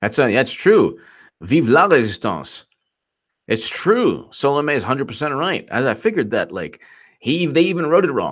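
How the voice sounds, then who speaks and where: This man's fairly high voice shows vocal fry and very wide pitch swings. The recording is very clean, with a silent background. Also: moderate pace. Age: 40s. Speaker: political commentator. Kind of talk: live stream reading texts and chat. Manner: animated, mocking.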